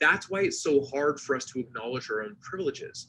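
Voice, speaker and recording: An animated man talking at a very fast pace. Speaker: leadership consultant and speaker. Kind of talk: presentation talk.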